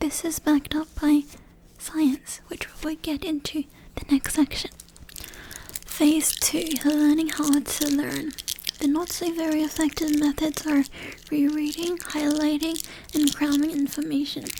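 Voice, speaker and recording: The speaker is soft-spoken and calm in tone, moving at a fairly slow pace with long, frequent pauses. Noticeable background noise sits behind the voice. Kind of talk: soft-spoken ASMR educational talk. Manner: soft-spoken, calm.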